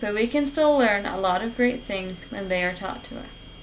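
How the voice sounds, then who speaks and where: A woman speaks at a fairly high pitch with ordinary pitch variation. Noticeable background noise and audible room echo are present. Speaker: college student. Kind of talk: persuasive speech. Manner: formal.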